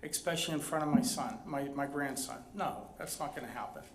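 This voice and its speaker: A man's fairly high voice with ordinary pitch variation, over noticeable background noise and audible room echo. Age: 60s. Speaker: resident speaking at public comment. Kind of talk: public comment at council meeting.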